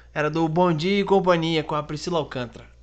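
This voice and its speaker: At a fairly quick pace, a man speaks in a high voice with ordinary pitch variation. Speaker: podcast co-host, comedian. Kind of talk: casual chat.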